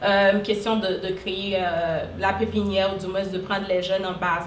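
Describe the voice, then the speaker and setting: With noticeable background noise and audible room echo, a woman speaks at a medium pitch and a moderate pace. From Haiti. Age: 20s. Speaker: social worker and entrepreneur. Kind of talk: interview. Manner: hesitant, many fillers.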